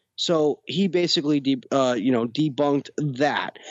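This man talks at a moderate pace with an American accent. His pitch sits fairly high. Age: 30s. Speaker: podcast co-host. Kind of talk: casual chat. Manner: animated.

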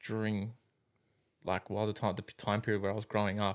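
A man with a fairly low pitch on a very clean recording with a silent background. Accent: Australian. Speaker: carpenter. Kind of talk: casual chat.

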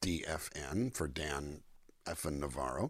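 A man with a Californian accent, vocal fry, and ordinary pitch variation. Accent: Californian American. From US Southwest, California-Mexico border town. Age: 60s. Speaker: singer-songwriter and voice actor. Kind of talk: interview.

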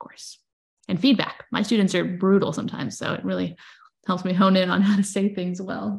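A woman speaks at a fairly quick pace with vocal fry. Her loudness swings widely while her intonation stays fairly even. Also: medium pitch for a woman. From moved to US as a child. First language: not English. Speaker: social media marketer and content creator. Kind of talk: casual chat. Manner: many fillers, halting.

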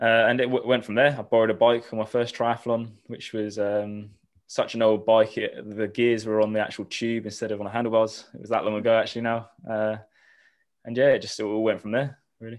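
With a southern English accent, a man speaks in a medium pitch. His intonation is monotone and flat, over a quiet background. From southern England, Eastbourne. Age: 20s. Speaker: triathlete and university student. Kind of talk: casual interview.

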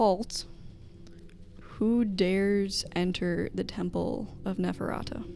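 Loud and booming, a put-on character voice at middle pitch moves at a very slow pace over clear background noise. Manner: commanding.

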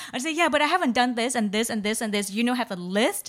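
A woman talks with a Vietnamese accent. The recording is very clean, with a silent background. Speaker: podcast co-host. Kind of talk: casual chat.

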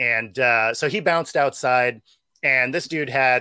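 A man's voice at medium pitch. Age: 40s. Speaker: former arena football player and podcaster. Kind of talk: casual chat.

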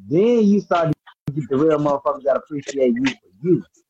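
Lively intonation at a moderate pace, in an American accent. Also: man, dry, close sound with no echo. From North Carolina. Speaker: rapper. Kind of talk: casual chat.

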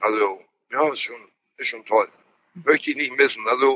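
Bright, sharp tone from a man at a medium pitch. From northern Germany, Schleswig-Holstein, moved there at 11 from abroad. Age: 50s. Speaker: mussel fisherman. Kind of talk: casual interview. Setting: in a car.

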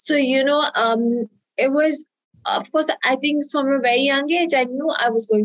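Recorded dry and close with no echo, a woman speaks at a moderate pace and high pitch with lively intonation. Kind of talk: interview. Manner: hesitant, many fillers.

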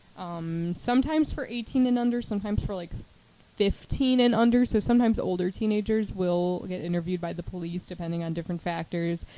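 A woman with a plain, everyday voice and an American accent, medium pitch, ordinary pitch variation and a fairly quick pace. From Chicago suburbs, Illinois. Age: 20s. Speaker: podcast co-host, counselor. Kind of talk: casual chat.

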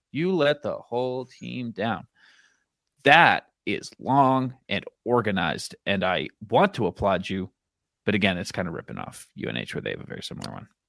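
A man talks with vocal fry and very wide pitch swings. His loudness rises and falls in big swings. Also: medium pitch for a man, moderate pace. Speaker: podcast host. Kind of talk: casual chat. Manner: banter, joking.

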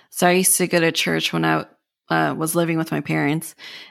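Ordinary pitch variation runs through a woman's unremarkable speaking voice. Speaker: podcast host. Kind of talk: casual interview chat.

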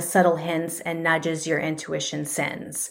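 In an American accent, a woman talks on a very clean recording where the background is silent. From Arizona. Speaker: podcast host and holistic counselor. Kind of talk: casual monologue, self-help podcast; guided exercise. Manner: animated.

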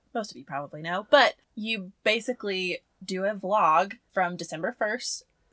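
A woman's bright, sharp, medium-pitched voice with a Southern US accent and ordinary pitch variation, dry and close with no echo. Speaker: podcast co-host. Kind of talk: casual chat.

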